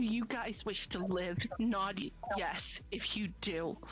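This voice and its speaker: In a put-on character voice, the speaker goes at a fairly slow pace over clear background noise. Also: female-sounding voice, medium pitch for a woman. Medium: actual play. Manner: blunt, forceful.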